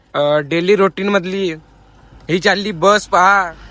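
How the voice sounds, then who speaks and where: Raising and projecting his voice, a man speaks at a high pitch with ordinary pitch variation. The sound is dry and close, with no echo. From Maharashtra, India. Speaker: vlogger. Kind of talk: casual vlog narration.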